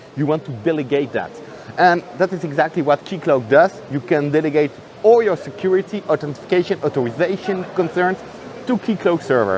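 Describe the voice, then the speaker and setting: Through noticeable background noise, a man with a high pitch talks at a fairly quick pace. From France and Netherlands, half French half Dutch. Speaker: software developer. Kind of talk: conference interview. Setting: conference venue. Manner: animated.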